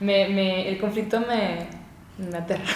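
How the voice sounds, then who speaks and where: A woman's voice carries audible room echo. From Venezuela. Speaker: videographer and content creator. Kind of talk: casual chat.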